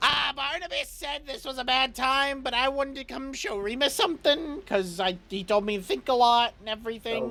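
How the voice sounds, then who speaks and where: A woman's put-on character voice, high in pitch, at a fairly quick pace with hardly any pauses. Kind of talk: eager, earnest.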